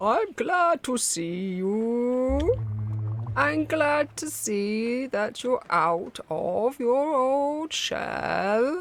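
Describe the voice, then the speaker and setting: A high, female-sounding put-on character voice at a very slow pace. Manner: slow, drawn-out.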